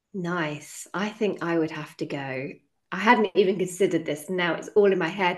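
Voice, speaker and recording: A woman speaks in a fairly low voice against a quiet background. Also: ordinary pitch variation, moderate pace. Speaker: podcast host and eating disorder coach. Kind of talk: podcast interview. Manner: halting, stumbling over words.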